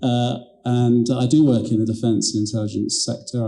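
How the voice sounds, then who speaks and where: A man with a British accent and a dark, mellow tone speaks at a moderate pace with fairly even intonation. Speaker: panel moderator, lawyer. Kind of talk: conference panel moderation.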